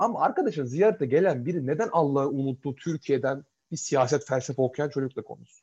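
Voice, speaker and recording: A somewhat breathy man's voice, fairly high in pitch, with lively intonation and a fairly quick pace. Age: 20s. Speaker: podcast co-host. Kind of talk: casual chat. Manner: animated.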